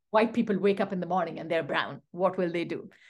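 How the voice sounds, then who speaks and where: A woman is speaking. She has a Pashto accent. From Pakistan, Pashto-speaking. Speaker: literature professor. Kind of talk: interview.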